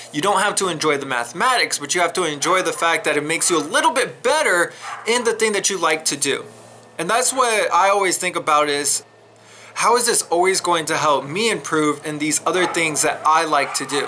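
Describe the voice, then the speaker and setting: A man speaks loudly at a high pitch. His intonation is lively. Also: fairly quick pace. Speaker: math teacher vlogger. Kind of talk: casual vlog talk to students. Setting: outdoors, then indoor workspace. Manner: hesitant, many fillers.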